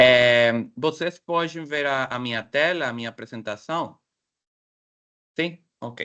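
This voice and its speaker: At a very slow pace with long, frequent pauses, a man speaks in a bright, sharp tone at medium pitch. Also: ordinary pitch variation. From Mexico, Mexicali, Baja California. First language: Spanish (speaking Portuguese). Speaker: professor, guest speaker. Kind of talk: academic presentation. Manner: halting.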